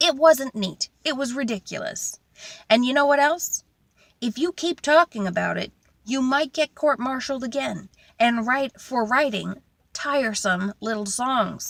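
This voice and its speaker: A female-sounding put-on character voice, high in pitch, at a moderate pace with long, frequent pauses. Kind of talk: mock military court talk. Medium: read story. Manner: blustering, pompous.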